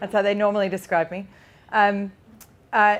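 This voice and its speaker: Speaking at a very fast pace, a woman talks with an Australian accent. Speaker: pig farmer and butcher, former academic. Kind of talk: conference talk. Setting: stage with audience. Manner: loud.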